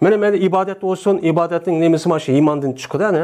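Against a quiet background, a man speaks fairly quickly at a high pitch. His tone is dark and mellow. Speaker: Islamic teacher. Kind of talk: lecture. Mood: calm explanatory. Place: home room. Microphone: lapel.

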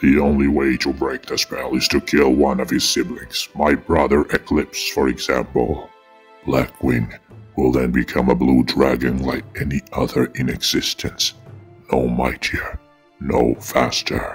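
Over faint background music, a man uses a put-on character voice with a very deep, low pitch at a moderate pace. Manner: haughty, mocking, menacing.

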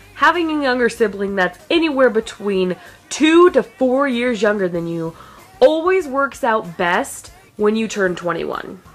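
Faint music sits in the background. Over it a woman talks at a fairly slow pace. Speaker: vlogger. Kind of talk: casual vlog chat. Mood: playful, joking. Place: home room. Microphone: phone near.

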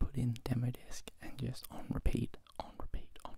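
Soft-spoken and whispering, a man is heard in a dry sound with no echo against noticeable background noise. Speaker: ASMR creator. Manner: soft close-mic whisper. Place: home room. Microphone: handheld.

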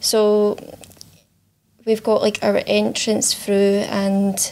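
A woman's medium-pitched voice, very slow in pace, with monotone, flat intonation. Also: slightly mellow tone.

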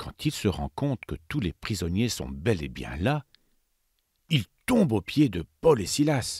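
A man's fairly low voice in a very clean recording with a silent background, dry and close with no echo, very slow with long, frequent pauses, very wide pitch swings, a dramatic tone and vocal fry. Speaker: narrator of children's Bible story. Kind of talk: dramatic storytelling narration for children, Bible story read aloud; scripted narration. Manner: hushed, suspenseful, urging the listener to 'listen' with dramatic pauses.

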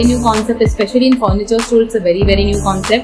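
A woman talks while clear music sounds behind her. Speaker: home decor vlogger. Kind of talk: casual vlog chat. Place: home room.

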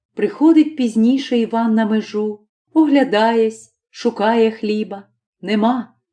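Reading aloud in a natural voice, with ordinary pitch variation, in a quiet background

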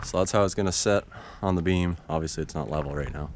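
A man speaks at a fairly quick pace in a very deep, low voice with fairly even intonation, over light background noise in a dry recording with no echo. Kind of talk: casual vlog chat. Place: open country. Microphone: phone near.

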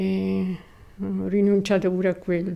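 Her tone dark and mellow, a woman speaks at a fairly slow pace. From Rome, Italy. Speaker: widow of a Paralympic athlete, former nurse. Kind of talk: personal reminiscence interview. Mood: calm, reflective reminiscing. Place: home room.

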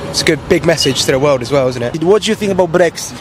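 Over noticeable background noise, a man with a London accent talks at a very fast pace with a fairly high pitch and lively intonation, the sound dry with no echo. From South London, Jamaican parents. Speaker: office worker. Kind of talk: street interview. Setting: outdoors. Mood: relaxed, slightly unsure. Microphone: handheld.

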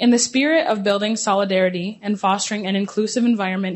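In a Canadian accent, a woman talks at a fairly quick pace with ordinary pitch variation. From Six Nations of the Grand River, Ontario, Canada; Ontario, Canada. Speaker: student event host. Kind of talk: formal event hosting, scripted. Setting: room with live audience. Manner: formal. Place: hall. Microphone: handheld.

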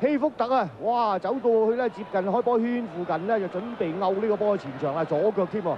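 Over noticeable background noise, a man speaks at a fairly quick pace with hardly any pauses, his high pitch showing ordinary variation. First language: Cantonese (speaking Vietnamese). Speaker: football commentator. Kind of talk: live commentary. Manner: animated.

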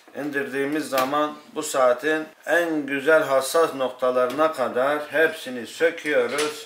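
A man's fairly high voice, very slow and fairly even in intonation, with light background noise and audible room echo. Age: 40s. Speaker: watchmaker. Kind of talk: interview. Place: workshop.

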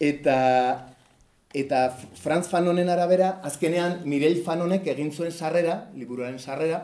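This man has a fairly high pitch and a dark, mellow tone. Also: ordinary pitch variation. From Basque Country. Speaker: cartoonist presenting his comic book. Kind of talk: book presentation talk. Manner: hesitant, many fillers. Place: hall. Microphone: camera far.

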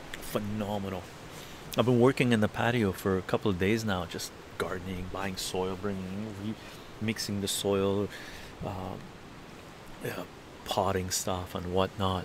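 A man's fairly low, monotone, flat delivery at a fairly slow pace, in a dry sound with no echo amid noticeable background noise. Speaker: livestreamer. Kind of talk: casual livestream chat. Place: garden. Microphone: phone near.

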